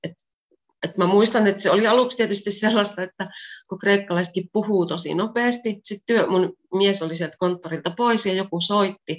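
Medium-pitched female speech, moderate in pace, with fairly even intonation. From Finland, Pieksämäki. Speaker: translator and Finnish teacher. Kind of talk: interview. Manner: normal conversational pace.

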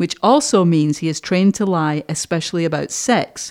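A woman has a normal speaking voice at a fairly low pitch. She talks at a moderate pace, her pitch varying in an ordinary way. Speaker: podcast host. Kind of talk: interview.

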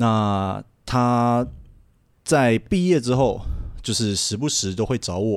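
A man at medium pitch talks at a very slow pace, leaving long, frequent pauses. His pitch variation is ordinary, and the recording is very clean with a silent background. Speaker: adult film crew member. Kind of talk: casual chat.

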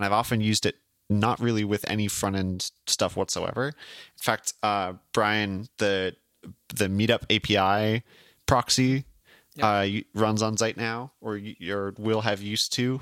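Here is a man with an ordinary speaking voice, fairly low in pitch, with fairly even intonation at a moderate pace. The sound is dry and close with no echo, on a very clean recording with a silent background. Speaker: podcast host. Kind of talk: casual chat.

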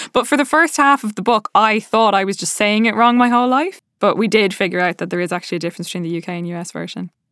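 A woman's very fast, lively, fairly high voice with hardly any pauses, in a very clean recording with a silent background and a dry, close sound free of echo. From Ireland, Dublin. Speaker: writer and director. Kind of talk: author interview monologue.

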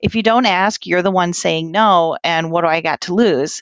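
An unremarkable speaking voice at a moderate pace with ordinary pitch variation. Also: woman. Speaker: aircraft dispatcher, scholarship recipient. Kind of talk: casual interview.

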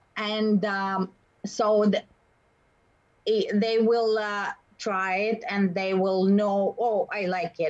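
A woman's medium-pitched voice in a Russian accent, very slow and monotone, with long, frequent pauses. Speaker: baker and bakery owner. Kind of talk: interview. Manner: halting.

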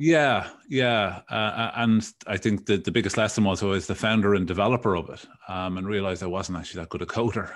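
A man with a Dublin accent speaks at a fairly quick pace, his voice fairly low in pitch. His pitch varies in an ordinary way over a quiet background. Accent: Irish, Dublin. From Dublin, Ireland. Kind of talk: casual interview chat.

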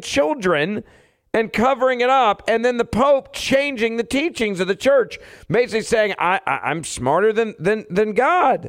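Extremely high pitch for a man, lively intonation and a moderate pace, on a very clean recording with a silent background. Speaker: radio host. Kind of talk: angry rant. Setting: radio studio. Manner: loud, fired-up and combative.

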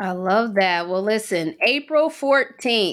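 A woman with an American accent, a bright, sharp and animated tone, lively intonation, and a fairly slow pace, on a very clean recording with a silent background. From West Virginia. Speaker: podcast host. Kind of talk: casual interview.

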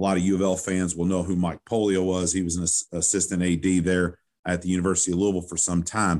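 Over a quiet background, a man with a very deep, low pitch speaks very fast in a rural Kentucky accent, his intonation monotone and flat. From western Kentucky, Owensboro. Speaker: sports PA announcer. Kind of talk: casual interview.

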